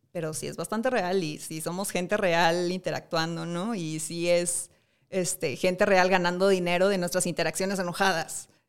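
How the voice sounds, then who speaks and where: Recorded very cleanly against a silent background, a woman speaks at a moderate pace with a fairly low pitch and fairly even intonation. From Monterrey, Mexico. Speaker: fashion school teacher. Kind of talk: studio interview. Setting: studio. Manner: halting, many fillers.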